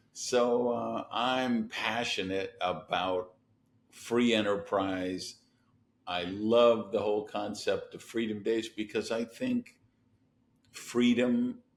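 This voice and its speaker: At a very slow pace, a man with an American accent speaks at medium pitch with fairly even intonation. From US Midwest, Madison, Wisconsin. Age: 60s. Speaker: entrepreneur and business coach. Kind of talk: podcast interview.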